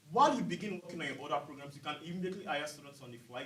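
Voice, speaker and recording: There is audible room echo as a man with a fairly high pitch talks at a very fast pace. His pitch varies in an ordinary way. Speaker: student business competition presenter. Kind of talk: case competition presentation.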